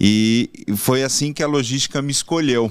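This is an unremarkable speaking voice from a man at a moderate pace with ordinary pitch variation. The recording is very clean with a silent background. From São Paulo, Brazil. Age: 40s. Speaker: logistics executive. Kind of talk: interview.

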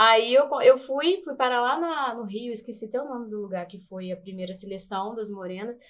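A woman with an ordinary speaking voice talks at a moderate pace and fairly high pitch, with lively intonation, big swings in loudness and hardly any pauses. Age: 30s. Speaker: beauty pageant contestant and dancer. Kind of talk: casual interview chat.

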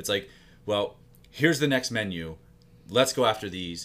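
A man with a normal speaking voice and a fairly low pitch talks at a moderate pace with ordinary pitch variation, on a very clean recording with a silent background. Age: 30s. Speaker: fitness coach and business partner. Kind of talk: casual chat.

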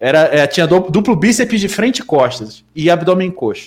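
The delivery comes at a fairly quick pace with lively intonation. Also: man. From Rio de Janeiro, Brazil. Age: 30s. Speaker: bodybuilding coach. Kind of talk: casual chat.

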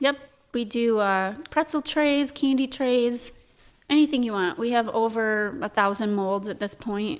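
In an unremarkable speaking voice with an American accent, a woman talks at a fairly slow pace and fairly high pitch with ordinary pitch variation, on a very clean recording with a silent background. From Michigan, US. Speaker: chocolate shop owner. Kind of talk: casual interview chat. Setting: studio.

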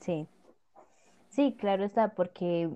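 A woman talks at a moderate pace in a fairly low voice. Hers is an unremarkable speaking voice, with fairly even intonation. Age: young. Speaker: podcast host. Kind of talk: casual panel discussion.

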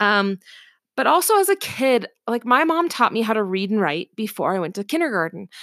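A woman with an American accent speaks in an animated tone at a fairly quick pace, her fairly high voice making very wide pitch swings, in a very clean, dry, close recording with a silent background and no echo. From US Pacific Northwest, Seattle area. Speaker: podcast host, homeschooling mom and entrepreneur. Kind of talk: casual monologue. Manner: animated, laughing.

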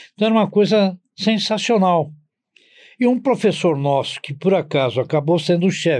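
Here a man speaks at a moderate pace. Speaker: vascular surgeon. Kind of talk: interview, personal reminiscence. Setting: studio.

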